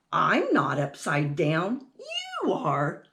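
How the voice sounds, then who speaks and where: A woman puts on a character voice pitched very deep and low. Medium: read story. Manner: earnest, wondering.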